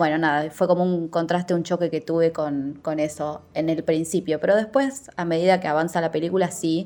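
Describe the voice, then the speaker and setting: A woman's dark, mellow voice, fairly low in pitch, at a fairly quick pace with hardly any pauses and a quiet background. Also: ordinary pitch variation. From Rosario, Argentina. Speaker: film viewer contributor. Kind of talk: recorded voice message review.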